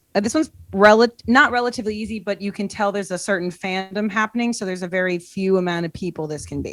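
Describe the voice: Speech comes at a fairly quick pace with a Boston accent. The pitch varies in an ordinary way. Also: woman.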